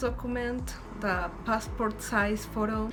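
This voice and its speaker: There is music in the background and audible room echo. A woman with a Spanish accent talks at a medium pitch. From Ecuador. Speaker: student vlogger. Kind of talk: tutorial.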